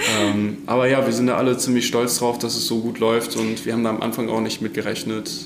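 A man at medium pitch speaks at a fairly quick pace with hardly any pauses and fairly even intonation. Noticeable background noise and audible room echo fill the recording. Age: 20s. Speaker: dairy technologist. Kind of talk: interview. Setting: on the farm.

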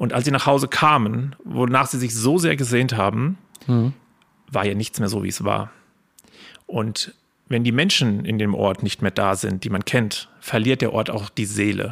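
Here is an ordinary speaking voice from a man at a medium pitch. He keeps a moderate pace with ordinary pitch variation. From Spessart, Lower Franconia/Hesse border region, Germany. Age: 30s. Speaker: local history guide and business owner. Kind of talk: podcast interview.

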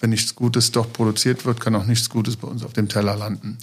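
A man with a medium pitch talks at a moderate pace in a monotone, flat intonation. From Trier region, Rhineland-Palatinate. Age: 50s. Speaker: state secretary and trained farmer. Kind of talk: political podcast discussion. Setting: studio in party office.

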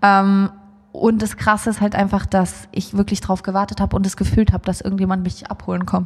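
The intonation is monotone and flat. Delivery comes at a fairly quick pace. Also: woman, medium pitch for a woman. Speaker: musician. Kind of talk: casual interview.

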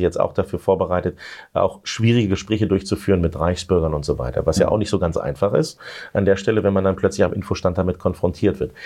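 Talking very fast, a man with a very deep, low pitch uses ordinary pitch variation. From Lower Saxony, Germany. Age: 40s. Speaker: politician. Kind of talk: interview.

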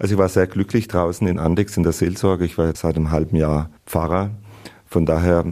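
A man with a very deep, low pitch and a dark, mellow tone speaks at a moderate pace with fairly even intonation on a very clean recording with a silent background. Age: 50s. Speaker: abbot. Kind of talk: interview excerpts.

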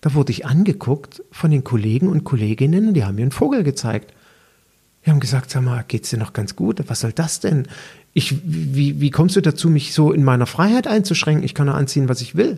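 A somewhat breathy man with a dark, mellow tone, fairly high pitch, lively intonation, and a fairly quick pace. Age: 50s. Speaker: personal trainer and podcast host. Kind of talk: solo podcast monologue.

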